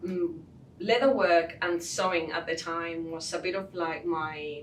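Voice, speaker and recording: A woman with a Spanish accent, fairly low in pitch, at a fairly slow pace with fairly even intonation, amid audible room echo. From southern Spain, Cádiz. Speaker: leatherworker and business owner. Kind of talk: interview.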